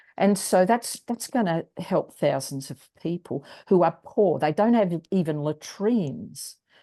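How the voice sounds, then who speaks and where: A woman's dark, mellow voice in an Australian accent, medium-pitched with lively intonation, at a fairly slow pace with hardly any pauses, against a quiet background. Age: 70s. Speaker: wellness strategist and singer. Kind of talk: interview.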